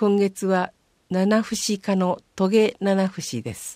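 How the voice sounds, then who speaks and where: The woman's medium-pitched voice has a dark, mellow tone and a dry, close sound with no echo. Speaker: municipal newsletter reader. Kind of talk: reading aloud.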